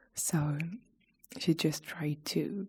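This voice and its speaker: Soft-spoken whispering with a somewhat breathy quality. The recording is very clean, with a silent background. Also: woman. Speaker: ASMR creator. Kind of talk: ASMR chat video. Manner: whispered, soft-spoken.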